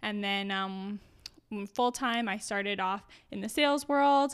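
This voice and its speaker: With a Canadian Prairies accent, a woman speaks at a fairly high pitch. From rural Saskatchewan, Canada. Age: 20s. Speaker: junior interior designer. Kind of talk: casual interview.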